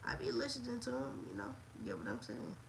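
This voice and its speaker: At a moderate pace, a woman talks in an animated tone, with audible room echo. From US South, Montgomery, Alabama. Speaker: wrestling livestreamer. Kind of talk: casual livestream chat.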